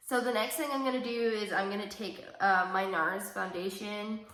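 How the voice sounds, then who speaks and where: With audible room echo and noticeable background noise, a woman speaks at a medium pitch and a fairly slow pace, her pitch varying in an ordinary way. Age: 20s. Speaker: beauty vlogger. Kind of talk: casual makeup tutorial chat. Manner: casual, many fillers.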